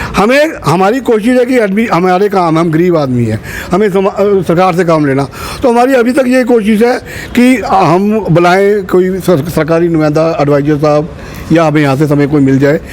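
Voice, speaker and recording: A man's high-pitched voice with lively intonation, very even loudness, and noticeable background noise. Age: 60s. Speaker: community leader. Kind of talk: interview.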